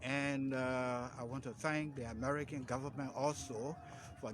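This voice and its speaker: Over noticeable background noise, a man talks at a moderate pace with medium pitch and fairly even intonation. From Liberia. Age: 70s. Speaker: medical doctor and epidemiologist. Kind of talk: interview.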